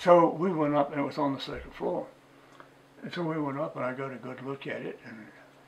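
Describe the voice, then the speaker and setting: A man speaks at a fairly high pitch and a fairly quick pace. His pitch varies in an ordinary way over noticeable background noise. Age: 80s+. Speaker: retired museum curator. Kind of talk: oral history interview.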